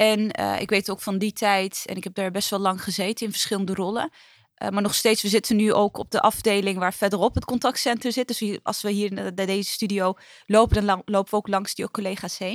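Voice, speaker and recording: A woman speaks at medium pitch and a fairly quick pace with monotone, flat intonation, in a dry, close sound with no echo. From Netherlands, Utrecht. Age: 30s. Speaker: trade union official. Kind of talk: interview. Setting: studio.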